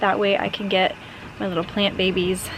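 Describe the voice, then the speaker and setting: A woman of medium pitch speaks at a fairly quick pace with noticeable background noise. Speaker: lifestyle vlogger. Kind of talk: casual vlog narration. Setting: outdoors in garden. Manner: talking quietly.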